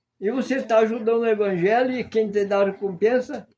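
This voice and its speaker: This man has a high pitch. His tone is dark and mellow. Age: 80s+. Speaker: pastor. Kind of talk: sermon.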